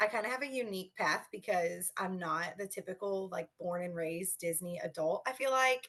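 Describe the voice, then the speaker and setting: Speaking at a medium pitch, a woman talks with a slight Kentucky accent. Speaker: teacher, podcast guest. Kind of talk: casual interview. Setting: video call.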